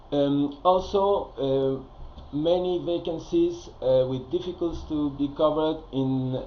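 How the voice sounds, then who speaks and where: A man speaks with audible room echo around him. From Spain. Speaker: career advisor. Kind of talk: recorded presentation. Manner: hesitant, many fillers.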